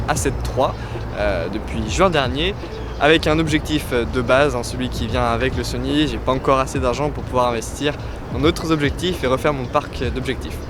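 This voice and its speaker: With music in the background and audible room echo, a man speaks at a fairly quick pace. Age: 20s. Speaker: travel blogger and photographer. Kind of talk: casual Q&A vlog. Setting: outdoors in a park. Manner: casual, with fillers.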